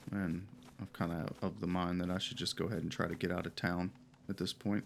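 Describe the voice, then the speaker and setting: Very fast speech comes from a man whose pitch sits very deep and low. His voice has vocal fry and an ordinary amount of pitch variation. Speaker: gaming video creator. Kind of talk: casual gameplay commentary. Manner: hesitant, many fillers.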